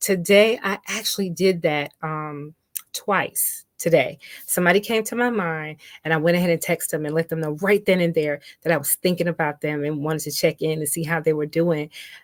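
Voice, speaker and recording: A woman with an American accent and an unremarkable speaking voice, fairly low in pitch with ordinary pitch variation, at a fairly quick pace, in a dry, close sound with no echo. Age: 60s. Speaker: radio host. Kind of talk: casual talk show monologue. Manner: conversational with frequent fillers.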